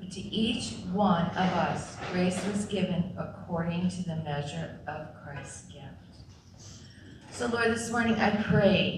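A woman speaks at a very slow pace with big swings in loudness, audible room echo, and noticeable background noise. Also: ordinary pitch variation. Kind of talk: scripture reading and prayer. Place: church. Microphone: podium.

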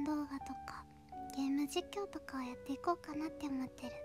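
A soft-spoken voice whispers over clear music in the background. The sound is dry, with no echo. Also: woman. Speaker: VTuber illustrator and animator. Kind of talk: casual talk about her hobbies and channel. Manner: whispered, soft. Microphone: studio mic.

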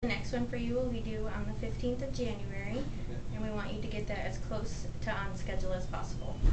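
Loud background noise fills the clip. Through it, a woman speaks at a fairly quick pace. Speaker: medical provider giving the vaccine. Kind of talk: explaining a medical procedure to a patient. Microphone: camera far.

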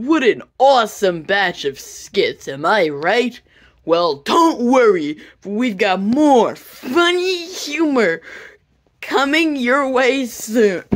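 A put-on character voice at a fairly high pitch, very slow in pace, with very wide pitch swings. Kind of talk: kids' TV host parody. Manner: upbeat, cheesy host.

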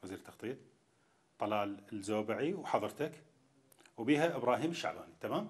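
A man with an Iraqi accent at a moderate pace. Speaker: TV talk show host. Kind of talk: political interview. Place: hall. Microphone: lapel.

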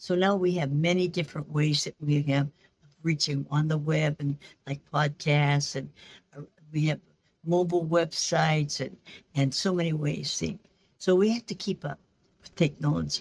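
Somewhat breathy and very deep, low for a woman, her voice moves at a moderate pace with fairly even intonation. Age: 80s+. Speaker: missionary and English teacher. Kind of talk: interview answer. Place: office. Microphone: video call.

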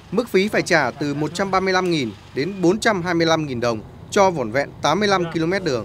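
A man speaks very slowly with a high pitch. His intonation is lively. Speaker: news reporter. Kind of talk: scripted narration.

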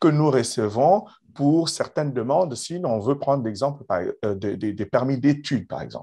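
Lively intonation and a dark, mellow tone from a man, against a quiet background. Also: fairly high pitch for a man. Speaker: immigration consultant, podcast host; podcast host. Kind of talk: interview. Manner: slow; formal. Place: office. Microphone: video call.

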